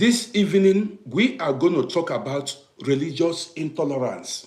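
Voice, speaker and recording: With an African accent, a man speaks at a high pitch with lively intonation. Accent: African English accent, natural. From Nigeria. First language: Nigerian native language. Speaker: live streamer, commentator on African affairs. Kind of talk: live stream talk to viewers. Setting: live broadcast on social media. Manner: repetitive, conversational; deliberate, not rushing.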